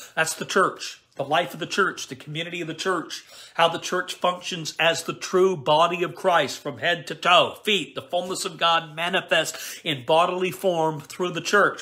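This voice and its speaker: A high-pitched man's voice with a Canadian accent. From Canada. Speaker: preacher on a live stream. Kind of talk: live stream Q&A and prayer; sermon. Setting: live stream broadcast. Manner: animated. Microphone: phone near.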